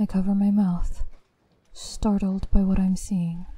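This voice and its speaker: Somewhat breathy, dark, mellow tones from a woman at medium pitch, in a monotone, flat intonation and a fairly slow pace. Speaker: voice actor narrator. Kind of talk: scripted horror story narration, creepypasta read aloud. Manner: hushed, slow, eerie, building suspense with deliberate pauses.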